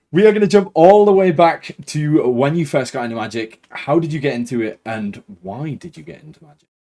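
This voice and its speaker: A man with a fairly high-pitched, dark, mellow voice talks at a fairly quick pace with hardly any pauses. His pitch swings very widely, and his loudness shifts a lot. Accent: Geordie. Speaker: podcast host. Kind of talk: interview; scripted introduction. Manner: authoritative.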